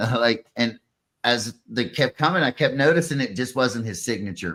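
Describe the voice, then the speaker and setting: In a strong Pittsburgh accent, the speaker talks at a moderate pace with lively intonation and a bright, sharp tone. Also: man. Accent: thick Pittsburgh. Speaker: podcast host. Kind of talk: casual chat. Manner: animated.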